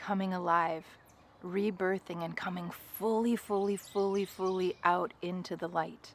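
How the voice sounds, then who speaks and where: This woman is soft-spoken, with a medium pitch. Her intonation stays monotone and flat. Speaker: spiritual guide. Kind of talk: guided meditation. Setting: outdoors. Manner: slow.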